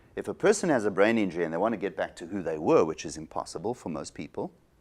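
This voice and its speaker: A man talks at a fairly quick pace with very wide pitch swings and vocal fry. The recording is very clean, with a silent background. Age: 60s. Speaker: psychologist. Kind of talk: interview.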